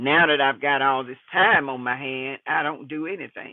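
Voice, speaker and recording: A man in a normal speaking voice with an American accent talks at a moderate pace. His pitch is medium and his intonation fairly even. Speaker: retiree vlogger and landlord. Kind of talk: casual vlog monologue.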